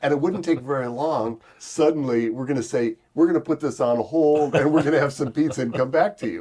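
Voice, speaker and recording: A man talks at a fairly quick pace with hardly any pauses, in a dark, mellow tone. His pitch is fairly high, with ordinary variation. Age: 60s. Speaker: pastor and missionary trainer. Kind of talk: interview.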